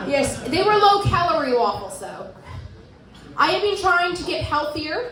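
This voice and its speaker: Amid noticeable background noise and audible room echo, a woman talks at a fairly quick pace with lively intonation. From Surrey, British Columbia, Canada. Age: 30s. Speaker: stand-up comedian. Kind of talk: stand-up. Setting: stage with audience.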